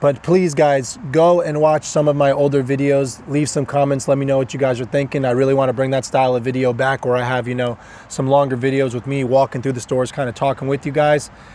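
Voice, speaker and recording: A man talks at a very fast pace with hardly any pauses, in an American accent at medium pitch. His intonation is monotone and flat, and there is noticeable background noise. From northern US. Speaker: car dealership owner, vlogger. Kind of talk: casual vlog advice talk. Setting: at a dealership lot.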